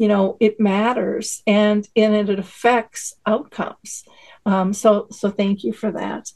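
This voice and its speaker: At a very slow pace, a woman with a fairly high, somewhat breathy voice speaks in a monotone, flat intonation. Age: 60s. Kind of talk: panel discussion.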